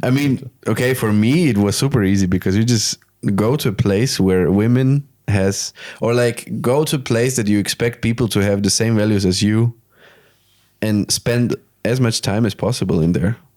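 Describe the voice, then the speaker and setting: With a Slovak accent, a man speaks in a dark, mellow tone at a medium pitch, his loudness very even throughout. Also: ordinary pitch variation, moderate pace, very clean recording, silent background. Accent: Slovak-accented English, sounds Spanish. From Slovakia. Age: 20s. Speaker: podcast host. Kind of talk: casual chat.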